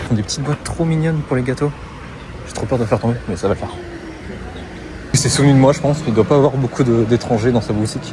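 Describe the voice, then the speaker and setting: A man talks at a very fast pace, with long, frequent pauses. Noticeable background noise runs behind him. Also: medium pitch for a man, ordinary pitch variation. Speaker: travel vlogger. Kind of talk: casual vlog chat.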